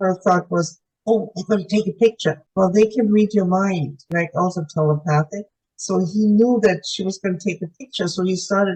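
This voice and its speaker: In a dry, close sound with no echo, a woman speaks at a moderate pace with a medium-pitched, somewhat breathy voice that is dark and mellow in tone. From Germany. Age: 80s+. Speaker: UFO contactee. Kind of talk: interview testimony. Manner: halting.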